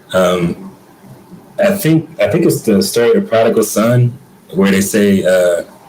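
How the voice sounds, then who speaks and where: A man speaks at a medium pitch and a fairly slow pace, with very wide swings in pitch. Noticeable background noise runs under his voice. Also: long, frequent pauses, very even loudness. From US South, Atlanta. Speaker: guest, creative artist. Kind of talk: interview conversation. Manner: casual, hesitant with fillers.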